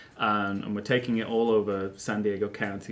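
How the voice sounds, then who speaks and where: A man with a British accent, fairly low pitch, fairly even intonation and a moderate pace. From England. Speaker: actor. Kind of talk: interview. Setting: studio. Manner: halting, many fillers.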